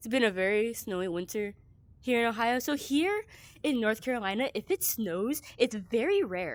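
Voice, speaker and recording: A woman with a fairly high voice speaks with lively intonation. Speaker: streamer. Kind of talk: casual chat. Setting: live stream. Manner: fast; animated.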